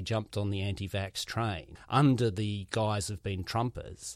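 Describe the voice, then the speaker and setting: A man speaks with a New Zealand accent on a very clean recording with a silent background. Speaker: podcast host, comedian. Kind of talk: casual interview.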